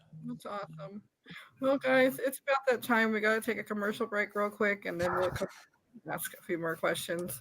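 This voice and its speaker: Her intonation is lively and her pitch medium. This woman keeps a moderate pace. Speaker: podcast host. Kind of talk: casual chat. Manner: halting.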